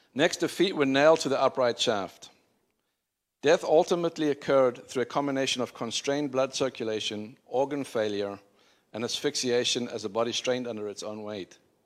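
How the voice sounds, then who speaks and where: Speaking with a South African accent, a man at a medium pitch talks at a fairly quick pace with ordinary pitch variation on a very clean recording with a silent background. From Zimbabwe and South Africa. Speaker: preacher. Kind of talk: sermon. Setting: church.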